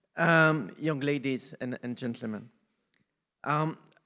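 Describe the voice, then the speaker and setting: A man with a French accent talks at a fairly high pitch with ordinary pitch variation. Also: very clean recording, silent background. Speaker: UN agency representative. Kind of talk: formal speech.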